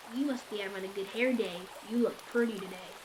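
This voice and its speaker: A woman's put-on character voice at a medium pitch and a very fast pace, over clear background noise. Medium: read story. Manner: snappy, threatening.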